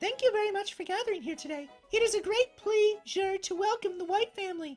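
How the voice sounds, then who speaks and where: Music plays behind a put-on character voice that is squeaky and extremely high-pitched, moving at a fairly quick pace. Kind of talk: elegant, refined. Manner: polite, formal welcome.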